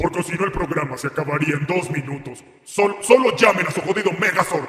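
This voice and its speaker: A man puts on a character voice, high in pitch and fairly quick in pace, with a clear echo around it. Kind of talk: comic overacting. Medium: fan dub. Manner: scornful, insulting, bored.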